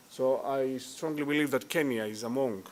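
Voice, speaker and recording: With a Greek accent, a man is talking. His pitch sits fairly high. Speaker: tourism industry executive. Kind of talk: conference speech. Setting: hotel conference hall.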